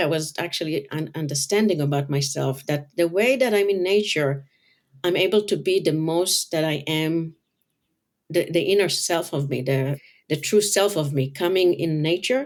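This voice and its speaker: Moderate pace and ordinary pitch variation in a woman's fairly low voice. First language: not English. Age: 50s. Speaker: color designer and author. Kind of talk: interview.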